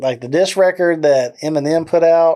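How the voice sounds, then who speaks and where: With a Southern US accent, a man speaks in a dark, mellow tone with fairly even intonation. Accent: deep southern drawl. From Texas, McGregor. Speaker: music videographer. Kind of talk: casual interview chat.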